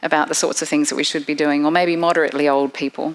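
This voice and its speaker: A woman speaks in an Australian accent with fairly even intonation. There is noticeable background noise. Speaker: professor and researcher. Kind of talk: seminar presentation.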